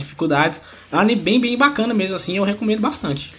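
Speaking at a very fast pace, a man is heard through noticeable background noise. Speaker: podcaster. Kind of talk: casual chat.

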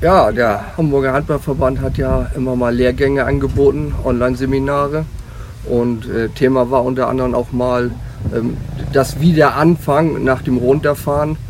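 A man's voice with fairly even intonation amid noticeable background noise. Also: medium pitch for a man, moderate pace. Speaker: youth handball coach. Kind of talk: interview. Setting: outdoors on a ship.

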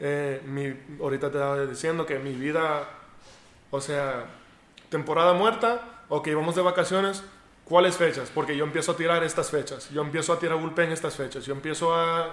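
Audible room echo surrounds a man speaking with a fairly high pitch. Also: ordinary pitch variation, moderate pace. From United States. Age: 30s. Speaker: professional baseball pitcher. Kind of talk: interview. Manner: halting.

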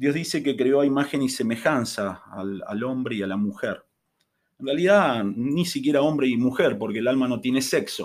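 A man speaks at a moderate pace in a medium pitch. His is an unremarkable speaking voice, with ordinary pitch variation. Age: 50s. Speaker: chemistry teacher. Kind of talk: casual interview.

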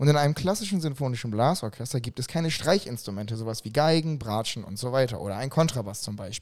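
A man with a normal speaking voice talks at medium pitch with lively intonation. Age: 30s. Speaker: event organizer and musician. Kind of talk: casual chat.

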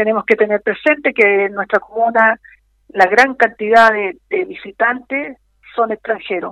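A woman talks at a fairly slow pace in a fairly high pitch with ordinary pitch variation. It is a plain, everyday voice, and the sound is dry and close with no echo. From Chilean Patagonia (Magallanes). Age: 50s. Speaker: former mayor and political candidate. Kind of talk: radio interview. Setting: phone call.

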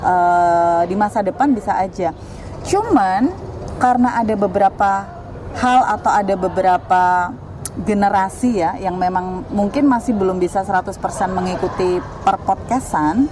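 A woman's medium-pitched voice with lively intonation at a moderate pace, noticeable background noise behind it. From Central Java, Indonesia (Batang). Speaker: communication lecturer, former radio announcer. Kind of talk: casual interview.

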